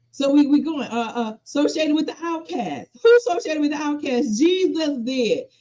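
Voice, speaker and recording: A woman with an American accent, high-pitched and animated, at a moderate pace with very wide pitch swings and hardly any pauses. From US South, rural South Carolina. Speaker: pastor. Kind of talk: panel discussion. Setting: live stream.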